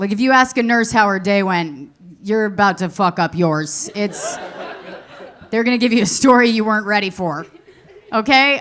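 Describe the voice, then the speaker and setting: A woman with a fairly high voice talks at a moderate speed as noticeable noise sounds behind her. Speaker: stand-up comedian. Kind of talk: stand-up. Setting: stage with audience.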